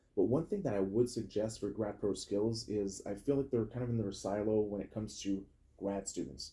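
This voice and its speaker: A man speaks somewhat breathily at a fairly low pitch with ordinary pitch variation. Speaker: podcast host. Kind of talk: casual chat. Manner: fast.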